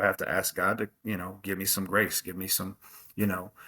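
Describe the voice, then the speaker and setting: With an American accent, a man talks loudly at a fairly quick pace in a bright, sharp tone, recorded dry and close with no echo. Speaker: college football coach. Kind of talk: interview. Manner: animated.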